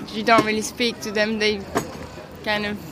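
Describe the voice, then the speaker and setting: Over noticeable background noise, a woman speaks at a moderate pace in a fairly high voice. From Brussels, Belgium. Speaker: illustrator. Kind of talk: street interview. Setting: outdoors at a flea market.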